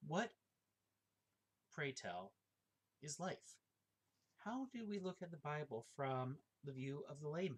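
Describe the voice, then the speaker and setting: This man's voice is fairly high and somewhat breathy, with very wide pitch swings. He leaves long, frequent pauses. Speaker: forklift operator and amateur theology writer. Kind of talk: casual monologue. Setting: at home. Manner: halting.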